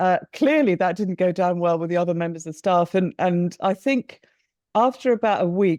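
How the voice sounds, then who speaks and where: In an English accent, a woman speaks at a moderate pace with a medium pitch, ordinary pitch variation, and a dark, mellow tone. The sound is dry and close with no echo, and the background is quiet. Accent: posh English, like the Queen. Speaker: businesswoman, company co-founder. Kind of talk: interview.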